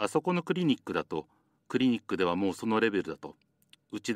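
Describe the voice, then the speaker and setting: A man talks at a very fast pace in a fairly low voice with very wide pitch swings. The recording is very clean with a silent background and a dry, close sound without echo. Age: 60s. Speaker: psychiatrist. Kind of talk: private conversation. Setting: private recording played in court.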